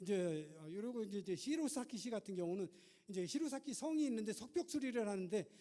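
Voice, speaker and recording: Speaking at a fairly quick pace, the voice has a dark, mellow tone and very wide pitch swings. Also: man. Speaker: university professor giving keynote. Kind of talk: keynote lecture. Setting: stage at a policy forum. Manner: fast; halting with many fillers.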